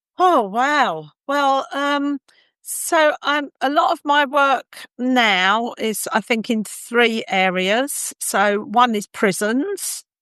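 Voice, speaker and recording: A woman's bright, sharp, high voice at a very slow pace, with very wide pitch swings and a dry, close sound with no echo. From London, England (working-class). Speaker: compassionate communication trainer. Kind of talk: interview conversation.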